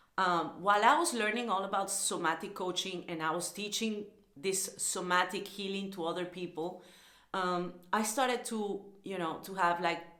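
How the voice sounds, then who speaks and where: In a Spanish accent, a speaker talks at a moderate pace with ordinary pitch variation, amid noticeable background noise and audible room echo. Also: woman, medium pitch for a woman. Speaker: lifestyle vlogger and somatic coach. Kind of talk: casual vlog monologue. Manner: hesitant, with fillers and repetitions.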